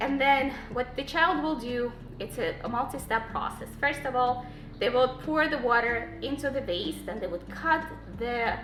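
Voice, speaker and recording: Against noticeable background noise and audible room echo, a woman with a non-native accent speaks at a high pitch. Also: ordinary pitch variation, moderate pace. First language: not English. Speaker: Montessori homeschool parent and channel host. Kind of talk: tutorial. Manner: halting, with fillers.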